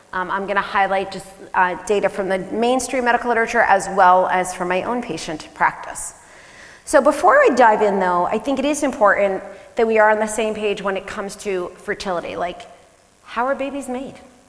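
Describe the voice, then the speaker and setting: Over noticeable background noise and audible room echo, a woman speaks fairly quickly at a medium pitch with ordinary pitch variation. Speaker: family physician. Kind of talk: conference talk. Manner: fast.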